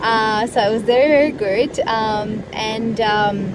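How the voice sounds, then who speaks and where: The delivery is fairly slow with ordinary pitch variation. Noticeable background noise runs underneath. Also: woman. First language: Italian. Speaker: live streamer. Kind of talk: casual live stream chat. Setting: parked in a car. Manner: halting with many fillers.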